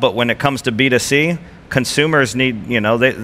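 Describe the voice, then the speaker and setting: At a moderate pace, a man with an American accent talks at a medium pitch with ordinary pitch variation. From United States. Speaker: telecom executive. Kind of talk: panel discussion.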